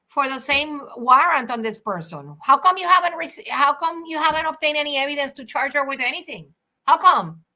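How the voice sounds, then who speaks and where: With a Spanish accent, a woman with a high pitch talks at a fairly quick pace in a raised, projected voice. Her tone is bright and sharp, with ordinary pitch variation and big swings in loudness. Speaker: attorney. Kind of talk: legal commentary monologue. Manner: animated; halting.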